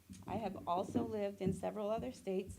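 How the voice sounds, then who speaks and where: Talking at a very fast pace, a woman shows vocal fry and ordinary pitch variation. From New Jersey and Puerto Rico. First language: Spanish. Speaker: mental health therapist; military veteran. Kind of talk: reading prepared remarks. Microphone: too quiet, far from mic.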